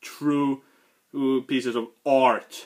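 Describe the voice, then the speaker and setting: A man with a Swedish accent speaks in a fairly high pitch. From Sweden. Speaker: comic book reviewer. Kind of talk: casual review video. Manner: halting.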